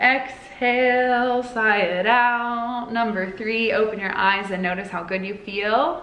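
A woman speaks at a very slow pace with hardly any pauses and ordinary pitch variation. Audible room echo surrounds her voice. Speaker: spiritual guide and oracle card reader. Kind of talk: guided meditation. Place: home room. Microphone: phone near.

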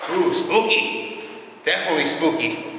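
Noticeable background noise and audible room echo surround a man's voice. His pitch varies in an ordinary way. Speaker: urban explorer host. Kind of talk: casual exploration commentary. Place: factory. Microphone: camera far.

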